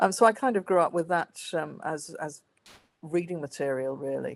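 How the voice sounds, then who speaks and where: Here a woman speaks in a Welsh accent. The recording is very clean, with a silent background. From Wales. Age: 50s. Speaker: author and historian. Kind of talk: interview. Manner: hesitant, many fillers.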